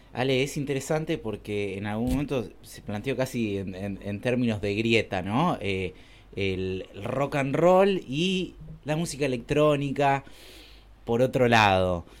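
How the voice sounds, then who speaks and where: Lively intonation marks this fairly slow delivery in a Rioplatense accent. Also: man, medium pitch for a man. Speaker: radio host. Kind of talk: radio interview.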